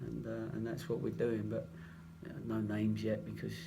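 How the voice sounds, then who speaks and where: Audible room echo surrounds a man speaking at a fairly quick pace in an English accent. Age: 60s. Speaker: football manager. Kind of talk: press conference.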